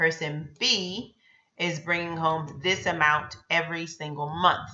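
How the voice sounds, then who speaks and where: A woman with a plain, everyday voice, fairly low in pitch and fairly slow in pace. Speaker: personal finance youtuber. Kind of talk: tutorial.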